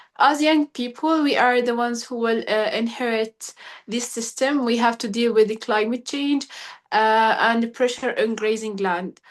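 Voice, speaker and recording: A woman speaks in a fairly high voice with an Arabic accent and fairly even intonation. The background is quiet. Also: moderate pace. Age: 20s. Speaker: young pastoralist advocate. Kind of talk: webinar talk. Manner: halting.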